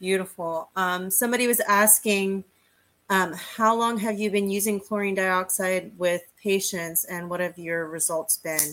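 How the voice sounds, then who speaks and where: In an ordinary speaking voice, a woman talks at a fairly slow pace with a medium pitch and fairly even intonation. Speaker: co-host. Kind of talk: casual chat.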